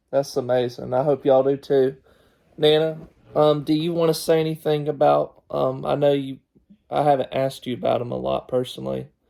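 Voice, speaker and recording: A man in a Southern US accent at a fairly quick pace. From US South. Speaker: podcast host. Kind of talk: family interview.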